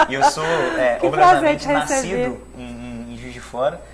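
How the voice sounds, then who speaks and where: Speech unfolds at a moderate pace with noticeable background noise behind it. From Juiz de Fora, Brazil.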